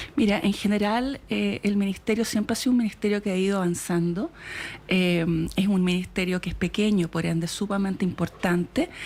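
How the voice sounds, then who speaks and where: A woman speaks at a medium pitch with ordinary pitch variation and a fairly quick pace. Her loudness is very even, and noticeable background noise is present. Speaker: government official. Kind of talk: radio interview. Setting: radio studio. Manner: fast; hesitant, many fillers. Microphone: far from mic, moved closer.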